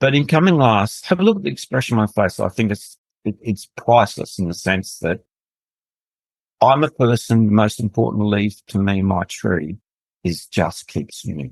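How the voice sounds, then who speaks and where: In an Australian accent, a man with a fairly low pitch speaks at a moderate pace with lively intonation, the sound dry and close with no echo. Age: 60s. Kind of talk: interview testimony.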